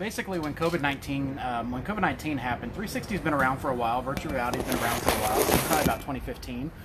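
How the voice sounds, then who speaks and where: Music runs in the background while a man with a fairly high pitch talks very fast. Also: ordinary pitch variation, hardly any pauses. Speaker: 360 video and VR creator. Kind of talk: casual interview.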